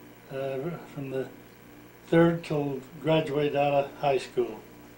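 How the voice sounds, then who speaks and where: A fairly high-pitched man speaking at a fairly slow pace, monotone and flat in intonation, with audible room echo. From Utah, US. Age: 70s. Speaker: retired farmer telling his life story. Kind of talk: oral history interview.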